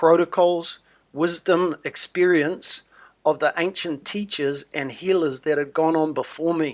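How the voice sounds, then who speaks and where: A man with a New Zealand accent, high-pitched, at a fairly slow pace, in a very clean recording with a silent background. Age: 60s. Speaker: wellness promoter. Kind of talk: sales pitch.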